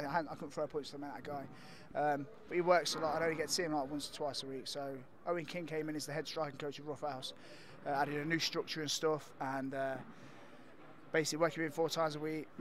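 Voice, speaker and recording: A man's very fast, fairly even speech, dry with no echo, over light background noise. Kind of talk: interview answer. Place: hall. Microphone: handheld.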